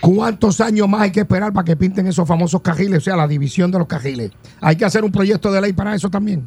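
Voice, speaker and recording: A man's high voice in a Puerto Rican accent, at a very fast pace with ordinary pitch variation. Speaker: radio host. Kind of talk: casual chat.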